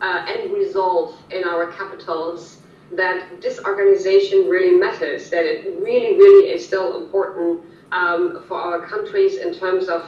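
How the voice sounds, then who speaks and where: Someone with a German accent speaks at a fairly slow pace, with audible room echo and noticeable background noise. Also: woman. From Germany. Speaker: policy analyst. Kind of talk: interview. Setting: video call. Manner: halting.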